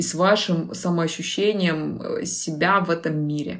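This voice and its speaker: A woman speaks with a fairly low pitch. Noticeable background noise sits behind her. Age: 20s. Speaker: personal branding expert. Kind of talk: casual interview.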